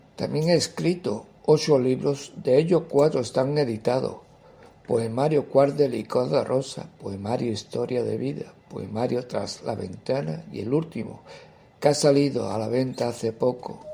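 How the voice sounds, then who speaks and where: A man's medium-pitched voice, dark and mellow in tone, somewhat breathy, with lively intonation at a fairly slow pace. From Andalusia, Seville province (Carmona). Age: 60s. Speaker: poet and writer. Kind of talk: interview answers, personal account.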